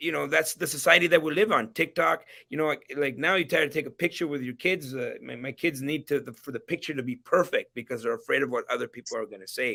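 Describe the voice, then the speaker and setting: A man talks fairly quickly at a fairly high pitch in a bright, sharp tone. The recording is very clean, with a silent background. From immigrant to Canada. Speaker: entrepreneur. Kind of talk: interview. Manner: halting, many repetitions.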